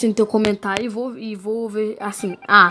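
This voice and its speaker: Amid noticeable background noise, a woman with a Brazilian accent speaks at a moderate pace and a fairly high pitch. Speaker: gaming youtuber. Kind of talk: gameplay commentary. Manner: animated.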